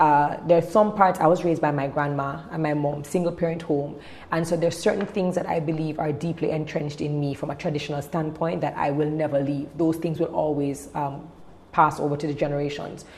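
Over noticeable background noise and audible room echo, a woman with a very deep, low pitch talks at a fairly quick pace with fairly even intonation. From Jamaica. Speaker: events and television host, speaker. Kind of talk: casual interview.

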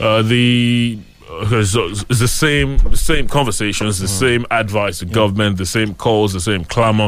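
Music plays in the background as the speech moves at a moderate pace. There are hardly any pauses, and the pitch varies in an ordinary way. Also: man, fairly low pitch for a man. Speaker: radio host. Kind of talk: morning news review and phone-in.

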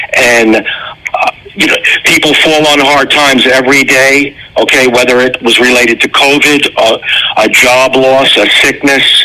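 Against noticeable background noise, a man talks at a fairly slow pace and medium pitch, his intonation monotone and flat and his loudness very even. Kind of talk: radio ad interview.

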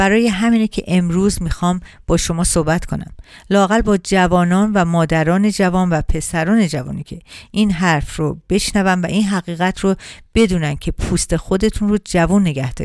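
An ordinary speaking voice from a woman, medium in pitch, with fairly even intonation at a moderate pace on a very clean recording with a silent background. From Iran. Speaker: radio host and beauty specialist. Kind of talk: radio talk show monologue.

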